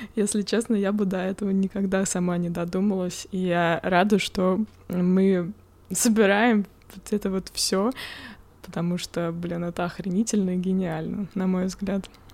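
Medium in pitch and flat, monotone in intonation, a woman speaks at a fairly slow pace. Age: 30s. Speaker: podcast co-host. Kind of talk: casual chat.

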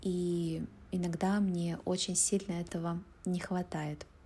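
A woman's somewhat breathy, fairly low voice has a dark, mellow tone and fairly even intonation. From Russia, Urals (Pervouralsk, Yekaterinburg). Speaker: Russian language teacher. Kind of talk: interview. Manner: slow, clear speech for learners.

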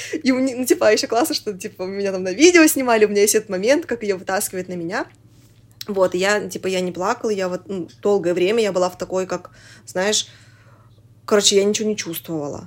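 A woman of medium pitch talks at a very fast pace with lively intonation, broken by long, frequent pauses. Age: 20s. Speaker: podcast producer, mother. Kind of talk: casual interview chat. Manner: animated, filler-heavy.

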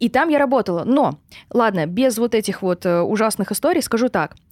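A woman with a normal speaking voice talks at a moderate pace, her fairly high pitch carried by lively intonation. The recording is very clean with a silent background and a dry, close sound with no echo. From Russia, Surgut. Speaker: online sales and marketing expert. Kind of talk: podcast interview.

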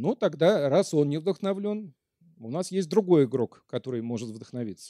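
A man speaks at a moderate pace with a fairly high pitch and very wide pitch swings. His tone is dark and mellow, and the sound is dry and close with no echo. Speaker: lecturer. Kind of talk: lecture. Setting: stage with audience.

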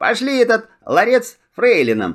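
A man puts on a character voice at a high pitch, with very wide pitch swings. The recording is very clean, with a silent background. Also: fairly slow pace.

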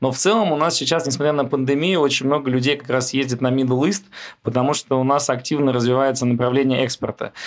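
Fairly even in intonation, a man with a medium pitch speaks at a very fast pace. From Moscow, Russia. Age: 30s. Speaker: oil company founder. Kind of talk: interview conversation.

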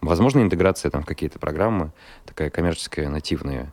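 A man's very deep, low voice full of vocal fry at a very fast pace. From Russia, Kirov. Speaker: radio host. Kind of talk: casual chat. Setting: studio.

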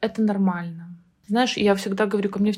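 Her voice somewhat breathy, a woman speaks at a medium pitch with fairly even intonation. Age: 30s. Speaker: psychotherapist. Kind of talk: casual chat.

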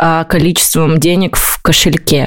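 Speaking at a fairly slow pace, a woman has a normal speaking voice, fairly low in pitch with ordinary pitch variation. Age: 20s. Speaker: podcast co-host, SMM agency owner. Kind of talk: casual chat.

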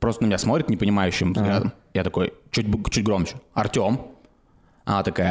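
A man with a fairly low pitch, ordinary pitch variation and a fairly quick pace, broken by long, frequent pauses. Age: 20s. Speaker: podcast co-host. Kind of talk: casual chat.

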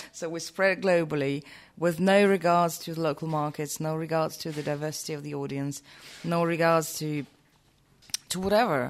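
Her pitch sits very deep and low for a woman. She speaks at a moderate pace. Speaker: bar industry figure, interviewer. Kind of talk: casual chat. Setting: cocktail week event recording. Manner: animated.

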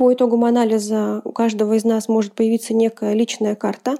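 The sound is dry and close with no echo as a woman speaks at a fairly quick pace. Her fairly high voice has a dark, mellow tone and monotone, flat intonation. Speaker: HR executive. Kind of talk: recorded interview segment.

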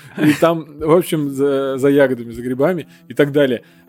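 Over noticeable background noise, a man speaks at a moderate pace with fairly high pitch. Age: 30s. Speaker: podcast host. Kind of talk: casual chat.

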